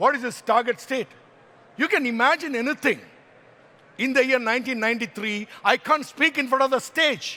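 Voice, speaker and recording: A man with an extremely high pitch, bright and sharp in tone, animated and raised in a projected voice, at a moderate pace with ordinary pitch variation. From Kerala, India. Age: 60s. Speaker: motivational speaker. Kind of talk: motivational talk.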